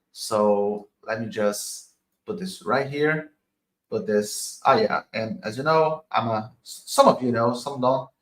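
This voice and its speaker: Talking at a very slow pace, a man with a medium pitch makes very wide pitch swings. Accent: Portuguese. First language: Portuguese. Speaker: crypto investor and streamer. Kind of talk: live stream analysis. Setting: live stream. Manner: halting.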